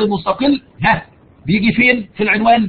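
A man talks at a moderate pace. His voice sits high in pitch. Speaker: university lecturer. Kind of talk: online lecture. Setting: live online session. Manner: raises voice for emphasis.

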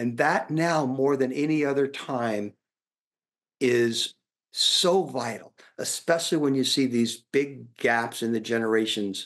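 A man talks with ordinary pitch variation at a fairly slow pace, the background quiet. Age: 60s. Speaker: leadership author. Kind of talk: interview. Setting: video call. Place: home room. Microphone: webcam.

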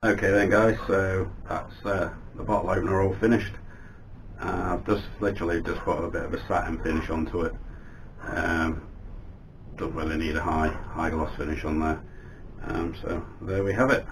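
Over light background noise, a man with a very deep, low pitch speaks at a moderate pace with fairly even intonation and long, frequent pauses. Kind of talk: casual vlog chat. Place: workshop.

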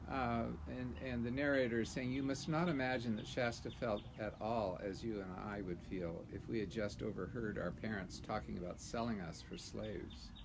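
Over noticeable background noise, a man with a fairly low pitch and vocal fry speaks with lively intonation. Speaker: livestream host reading books aloud. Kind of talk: reading aloud. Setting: outdoors in a garden patio. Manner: relaxed, with frequent fillers and laughs. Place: garden. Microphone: phone near.

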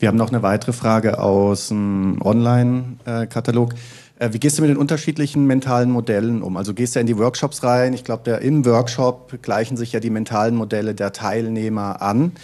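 His tone is dark and mellow. The man speaks at a moderate pace with fairly even intonation. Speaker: conference host and moderator; conference host, moderator. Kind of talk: conference introduction and discussion. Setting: conference stage. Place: hall. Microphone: handheld.

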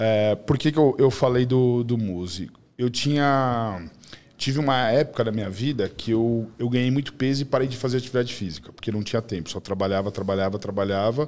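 With a medium pitch and ordinary variation, a man talks at a fairly quick pace. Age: 40s. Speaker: podcast guest. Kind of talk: casual chat. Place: studio. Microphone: studio mic.

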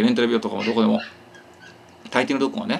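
A man's voice with very wide pitch swings over light background noise. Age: 40s. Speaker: YouTuber; vlogger. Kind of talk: casual monologue. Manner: hyper, excitable; stumbling speech. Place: home room. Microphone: phone near.

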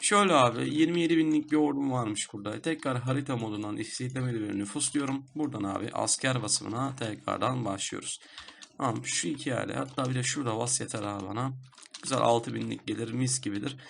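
Speaking at a fairly quick pace, a man has a medium pitch with ordinary pitch variation. Noticeable background noise runs underneath. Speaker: gaming YouTuber. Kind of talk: gameplay commentary. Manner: casual, chatty with filler sounds.

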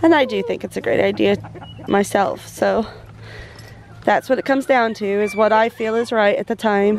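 A woman's slightly mellow voice with vocal fry and fairly even intonation at a moderate pace, over faint background noise. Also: medium pitch for a woman.

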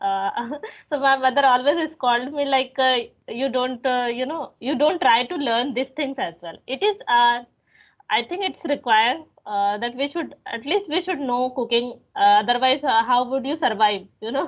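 Her intonation lively, a woman with an Indian accent talks in a high voice. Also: moderate pace, quiet background. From India, Bhopal. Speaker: English teaching YouTuber. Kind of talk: casual chat. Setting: phone call. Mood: friendly, relaxed, smiling. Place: home room. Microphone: video call.

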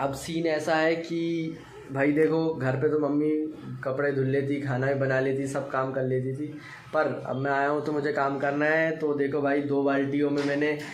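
A man speaks at medium pitch and a moderate pace, with little pitch movement, few pauses and audible room echo.

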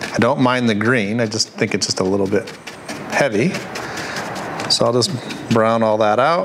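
Over noticeable background noise, a man speaks at a moderate pace with very even loudness and ordinary pitch variation. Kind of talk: tutorial. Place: workshop. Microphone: lapel.

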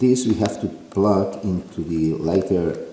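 Noticeable background noise is present throughout. Over it, the intonation rises and falls in a lively way. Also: man. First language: Spanish. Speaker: product reviewer. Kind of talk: tutorial. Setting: in a car. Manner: halting.

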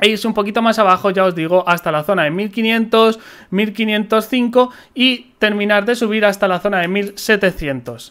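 The speech moves at a fairly slow pace with ordinary pitch variation. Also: man, high pitch for a man. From Spain. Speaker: crypto trading youtuber. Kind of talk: market analysis tutorial. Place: home room. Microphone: studio mic.

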